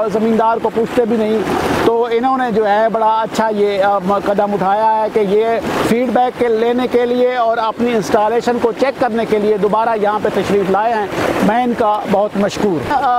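A man speaks at a high pitch with monotone, flat intonation. The sound is dry with no echo, and there is noticeable background noise. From Pakistan, Bhakkar district, Thal; Pakistan. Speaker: farmer, customer. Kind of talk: customer testimony. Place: farm machine.

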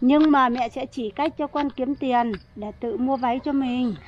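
The speech moves at a fairly slow pace with fairly even intonation. Light background noise is present. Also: woman, dry sound with no echo. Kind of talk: scripted dialogue. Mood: gentle, explaining. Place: open country.

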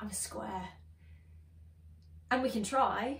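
In a room with audible echo, a woman speaks at a very slow pace. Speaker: spoken word poet. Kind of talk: spoken word poetry performance. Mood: earnest, expressive, frustrated. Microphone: phone near.

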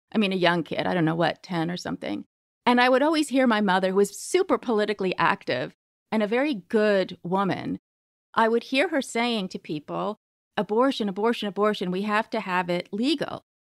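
With an American accent and lively intonation, the speaker talks at a fairly quick pace in a very clean, dry, close recording with no echo and a silent background. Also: woman, medium pitch for a woman. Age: 50s. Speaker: writer and magazine editor. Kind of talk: interview conversation. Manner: animated.

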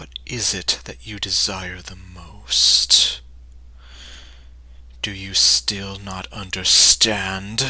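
A low-pitched, put-on character voice at a very slow pace, with long, frequent pauses and light background noise. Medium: voice reel. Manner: cryptic, taunting.

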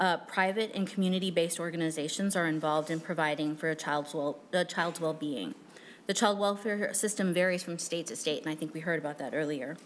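Over light background noise, a woman with a fairly low pitch talks at a very fast pace. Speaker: state government official. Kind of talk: legislative hearing testimony. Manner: formal. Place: hall. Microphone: podium.

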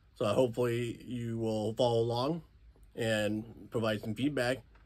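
The delivery keeps a moderate pace and fairly even intonation. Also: man. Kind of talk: casual vlog chat. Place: workshop. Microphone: phone near.

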